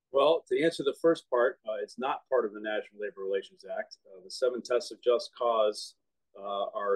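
With an American accent, a man talks at a fairly quick pace against a quiet background. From Boston. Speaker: union representative. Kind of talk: interview. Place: home room. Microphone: phone near.

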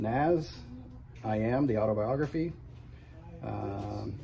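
A man speaks over noticeable background noise. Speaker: music YouTuber reviewing vinyl releases. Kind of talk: casual product walkthrough. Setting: in a record store. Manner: halting, many fillers.

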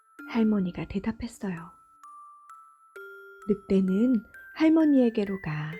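With music in the background, a woman speaks in a fairly high pitch with lively intonation at a fairly slow pace, leaving long, frequent pauses. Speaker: mother and storybook narrator. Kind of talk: gentle storytelling narration. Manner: whispered, soft-spoken.

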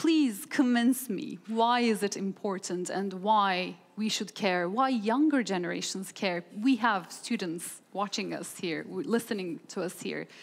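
A woman talks at a fairly slow pace with a Turkish accent. Her pitch variation is ordinary. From Turkey. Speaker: journalist and panel moderator; journalist, panel moderator. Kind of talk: panel moderation. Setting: stage with audience. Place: hall. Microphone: headset.

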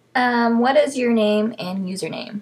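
In a Texan accent, a woman speaks with a somewhat breathy voice and fairly even intonation. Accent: Texan American English. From South Texas. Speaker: vlogger. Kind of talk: casual vlog, reading word list. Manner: many fillers (um, uh). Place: home room. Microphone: webcam.

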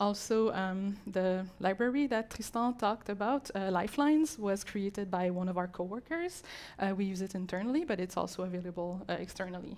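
A woman talks at a fairly quick pace with ordinary pitch variation and hardly any pauses. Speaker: conference speaker. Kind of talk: talk presentation. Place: hall. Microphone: handheld.

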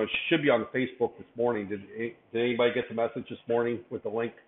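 A man's voice carries audible room echo. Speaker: university lecturer. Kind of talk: lecture. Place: classroom.

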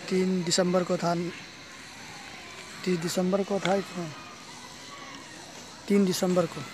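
Music plays in the background as the speaker goes at a fairly slow pace, the sound dry with no echo. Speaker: first-time vlogger. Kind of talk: casual vlog chat. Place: open country. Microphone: phone near.

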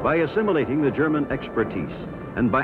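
The speech moves at a moderate pace with clear music in the background. The sound is dry, with no echo. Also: man. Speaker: documentary narrator. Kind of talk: documentary narration. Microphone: old recording.

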